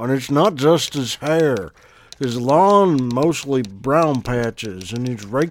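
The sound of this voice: The speaker reads in an unforced reading voice whose pitch varies in an ordinary way.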